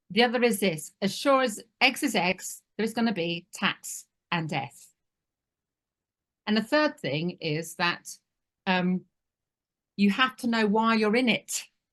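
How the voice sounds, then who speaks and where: A woman with a medium pitch speaks at a fairly slow pace with lively intonation and long, frequent pauses. The background is quiet. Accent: British. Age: 60s. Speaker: family business advisor. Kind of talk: webinar presentation.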